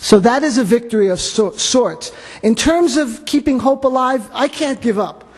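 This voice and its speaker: With a New York accent, a man speaks in an extremely high pitch at a moderate pace, his pitch varying in an ordinary way, over noticeable background noise. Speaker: radio host. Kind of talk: panel discussion.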